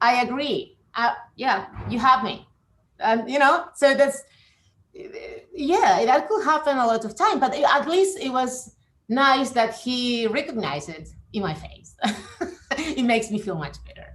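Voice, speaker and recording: The voice shows very wide pitch swings and big swings in loudness. It moves at a fairly slow pace with long, frequent pauses. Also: woman, high pitch for a woman. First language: Spanish. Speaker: professor. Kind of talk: interview. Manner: halting, many fillers and repetitions.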